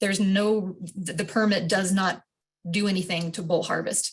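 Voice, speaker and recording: At a moderate pace, a woman speaks with a somewhat breathy voice of medium pitch. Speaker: wildlife biologist. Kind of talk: public meeting presentation. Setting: video call.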